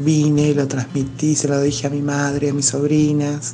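A woman speaks at a very deep, low pitch and a fairly slow pace. Audible room echo and noticeable background noise fill the recording. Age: 50s. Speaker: feminist march participant. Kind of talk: voice message testimony. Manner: halting.

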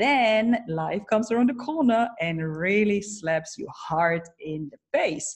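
A woman's fairly high, somewhat breathy voice with very wide pitch swings, over a quiet background. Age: 30s. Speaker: keynote speaker and coach. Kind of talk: interview. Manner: animated.

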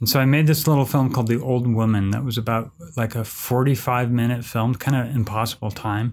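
A plain, everyday voice: a man with an American accent, medium pitch, fairly even intonation and a fairly quick pace, in a very clean recording with a silent background. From San Francisco Bay Area, US. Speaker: film director and professor. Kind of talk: casual interview conversation.

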